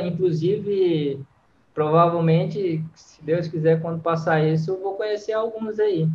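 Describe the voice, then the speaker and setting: The speaker is a man with a high pitch. He moves at a moderate pace with ordinary pitch variation. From Brazil, Fortaleza, Ceará. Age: 30s. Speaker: freestyle football influencer, ex-athlete. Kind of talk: casual interview.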